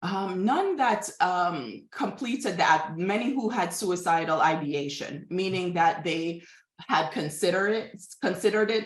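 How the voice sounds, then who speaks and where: A woman with a Jamaican accent at medium pitch, lively in intonation, fairly slow in pace, with audible room echo. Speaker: behavioral scientist. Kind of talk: interview. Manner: halting.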